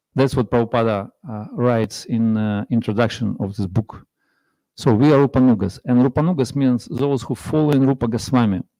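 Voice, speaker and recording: Speaking at a fairly quick pace with a strong non-native accent, a man uses a dark, mellow tone at medium pitch with ordinary pitch variation. The recording is very clean and dry, close with no echo and a silent background. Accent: heavy foreign. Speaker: visiting monk and speaker. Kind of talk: religious class. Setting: temple with audience. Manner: halting.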